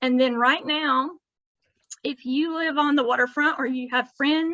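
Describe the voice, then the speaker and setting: A woman's raised, projected voice, high and bright with a sharp tone, with fairly even intonation at a fairly slow pace. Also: dry, close sound with no echo. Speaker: coastal education coordinator. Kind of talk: presentation over video call. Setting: video call.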